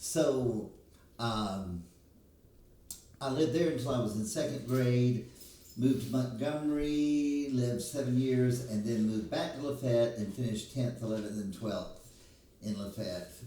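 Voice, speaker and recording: A man with an Alabama accent and medium pitch, at a fairly slow pace with long, frequent pauses and ordinary pitch variation, amid noticeable background noise and audible room echo. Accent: Alabama Southern US. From US South, Alabama. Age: 60s. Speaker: hairstylist. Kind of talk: casual chat.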